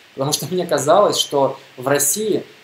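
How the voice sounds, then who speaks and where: A man with ordinary pitch variation amid noticeable background noise. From Russia, Bashkortostan (Neftekamsk). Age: 20s. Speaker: podcaster on mindfulness. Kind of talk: monologue talk.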